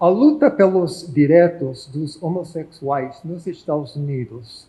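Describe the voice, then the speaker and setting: A man speaks at a very slow pace with an English accent. His voice is high. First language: English (speaking Portuguese). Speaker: professor. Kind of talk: lecture. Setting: auditorium.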